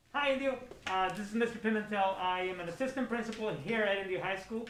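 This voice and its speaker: A high-pitched man talks at a very fast pace with ordinary pitch variation, amid noticeable background noise and audible room echo. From Mexico, Mexicali. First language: Spanish. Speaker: assistant principal. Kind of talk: school broadcast interview. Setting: studio. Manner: hesitant, many fillers.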